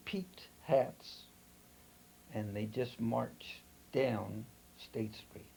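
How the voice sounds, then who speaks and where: Very slowly, a man with an American accent talks in a dark, mellow tone that is somewhat breathy. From California, Santa Barbara. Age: 80s+. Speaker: congregation elder. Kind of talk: oral history interview. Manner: halting.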